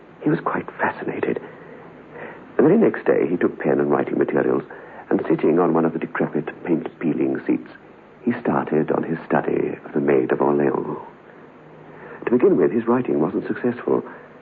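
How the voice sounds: Over faint background noise, a man puts on a character voice with extremely low pitch, vocal fry and big pitch swings at a moderate pace.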